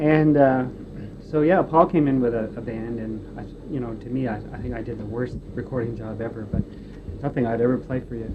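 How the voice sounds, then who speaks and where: Over noticeable background noise, a man of medium pitch speaks at a fairly quick pace, with ordinary pitch variation and big swings in loudness. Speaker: recording engineer. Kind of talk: interview answer.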